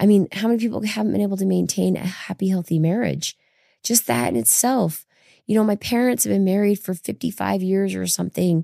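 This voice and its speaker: A woman talks in an ordinary speaking voice at a medium pitch and a fairly quick pace. Her intonation is lively, and the sound is dry and close with no echo. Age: 40s. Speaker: wife and support crew of an endurance athlete. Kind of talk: casual interview.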